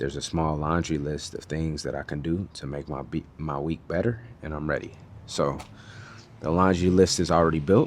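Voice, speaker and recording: Very deep and low, a man's voice moves at a moderate pace with ordinary pitch variation. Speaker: video blogger. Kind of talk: casual monologue. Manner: mumbling, quiet.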